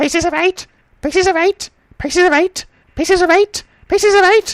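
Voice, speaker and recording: This put-on character voice is squeaky and shrill, pitched extremely high and delivered at a fairly quick pace. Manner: mechanical repetition without pause or change.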